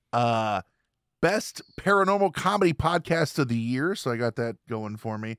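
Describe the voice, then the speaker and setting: In a very clean recording with a silent background and a dry, close sound with no echo, a man uses a normal speaking voice at a moderate pace with lively intonation. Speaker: podcast host and judge. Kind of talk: casual chat.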